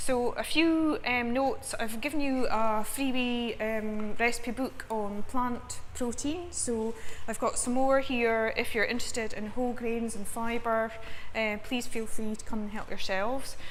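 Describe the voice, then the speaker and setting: A woman's high voice moves at a fairly slow pace, with audible room echo around it. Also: fairly even intonation. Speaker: nutrition researcher. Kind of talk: lecture. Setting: seminar with live audience.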